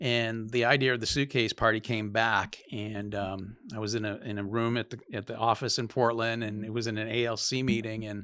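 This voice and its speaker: With a Maine accent, a man talks in a bright, sharp tone at a medium pitch, his intonation monotone and flat, moving at a moderate pace with hardly any pauses. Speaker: real estate agent. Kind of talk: podcast interview, storytelling.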